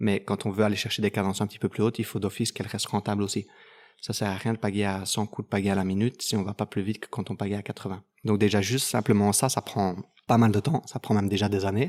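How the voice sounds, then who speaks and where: A man speaks very fast in a monotone, flat delivery. The sound is dry and close with no echo, on a very clean recording with a silent background. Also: fairly low pitch for a man. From Belgium, Dinant area. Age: 30s. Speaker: kayak athlete. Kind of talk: interview. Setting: kayak club.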